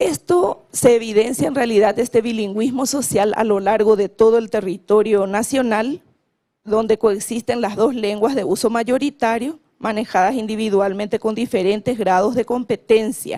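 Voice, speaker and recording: In a Paraguayan accent, a woman speaks with ordinary pitch variation. The sound is dry and close, with no echo. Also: fairly high pitch for a woman, moderate pace. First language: Guarani (speaking Spanish). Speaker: government official on language policy. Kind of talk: conference panel talk. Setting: conference panel.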